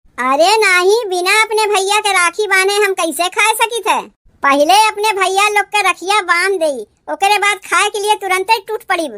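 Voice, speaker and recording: A woman uses a cartoonish character voice at an extremely high pitch. She speaks at a moderate pace with ordinary pitch variation. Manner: rustic dialect, emphatic.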